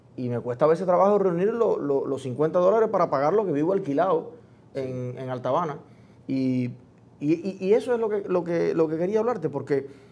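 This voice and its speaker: At a moderate pace, a man with a high pitch speaks in a dark, mellow tone with lively intonation. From Cuba. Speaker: interview show host. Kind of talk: interview. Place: studio.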